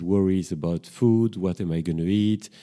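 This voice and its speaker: In a French accent, a man speaks at a moderate pace with a very deep, low pitch and a dark, mellow tone. His pitch variation is ordinary, and the recording is very clean with a silent background. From Brussels, Belgium. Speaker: psychotherapist and podcast host. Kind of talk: solo podcast introduction, casual monologue. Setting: home kitchen with microphone. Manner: slightly hesitant, reflective.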